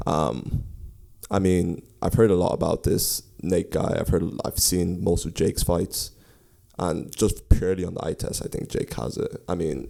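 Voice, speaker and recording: A man's voice sits very deep and low, dark and mellow with vocal fry. His pitch varies in an ordinary way. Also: moderate pace. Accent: American. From Ireland, County Kildare. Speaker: podcast co-host. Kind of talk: casual chat.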